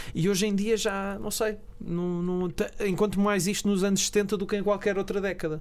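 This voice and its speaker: A man's high-pitched, flat monotone at a moderate pace. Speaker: film podcast co-host. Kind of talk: casual chat.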